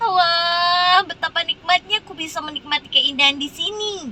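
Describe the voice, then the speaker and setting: A woman in a put-on character voice, extremely high in pitch, raised and projected, at a moderate pace. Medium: read story.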